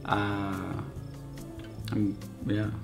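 A man mumbling, with clear music in the background. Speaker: photographer; vlogger. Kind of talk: casual talk to camera. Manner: mumbling, hesitant. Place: home room. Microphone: phone near.

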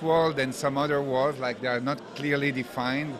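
Over noticeable background noise, a man speaks at a fairly high pitch. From Belgium. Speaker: art collector. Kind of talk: interview. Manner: halting. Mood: friendly, appreciative. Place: hall. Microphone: handheld.

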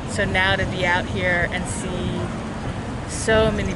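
A woman's voice, dry with no echo, against loud background noise. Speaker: interviewee. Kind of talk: interview answer. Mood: reflective, emotional. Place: street. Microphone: phone near.

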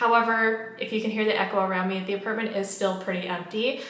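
At a very fast pace, a woman talks in a monotone, flat intonation with audible room echo. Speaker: lifestyle vlogger. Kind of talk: casual vlog chat. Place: empty room. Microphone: camera far.

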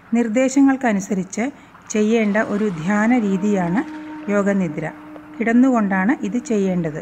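Noticeable background noise beneath a woman speaking at medium pitch, her pitch variation ordinary. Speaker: yoga instructor. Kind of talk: guided meditation.

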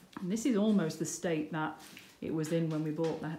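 There is audible room echo and light background noise around a woman with a fairly low pitch and ordinary pitch variation. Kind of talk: casual vlog chat. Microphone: phone near.

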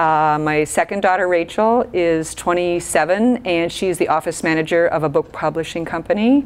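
A woman speaks with an American accent at a fairly slow pace. Her fairly low voice has lively intonation. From southeastern Minnesota. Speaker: school teacher. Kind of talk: interview. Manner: hesitant, many fillers. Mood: warm, friendly. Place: office.

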